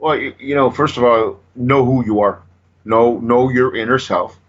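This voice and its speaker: He speaks in a plain, everyday voice at a moderate pace. This man's pitch is medium. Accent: American. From Southern California. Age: 60s. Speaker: motivational speaker. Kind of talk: casual interview.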